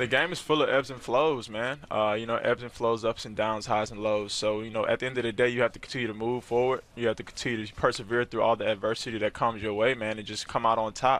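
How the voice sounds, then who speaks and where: A man rushes along at a very fast pace with hardly any pauses. His intonation is fairly even, and the sound is dry with no echo. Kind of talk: interview answer. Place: hall. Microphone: headset.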